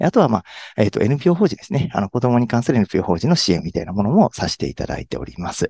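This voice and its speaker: A man talks at a very fast pace, his voice somewhat breathy. His pitch swings very widely. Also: medium pitch for a man. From Hyogo, Kansai. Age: 30s. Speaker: tax accountant. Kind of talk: interview. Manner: halting, many fillers.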